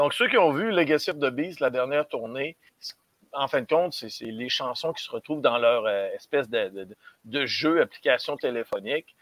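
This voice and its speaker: Speaking at a moderate pace, a man with an unremarkable speaking voice and a fairly high pitch uses lively intonation, the sound dry and close with no echo. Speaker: metal music commentator. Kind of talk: casual chat.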